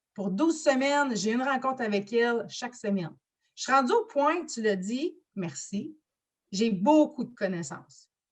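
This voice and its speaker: With a Quebec accent, a woman speaks fairly slowly with lively intonation. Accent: Québécois French. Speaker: business coach. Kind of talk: interview. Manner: loud.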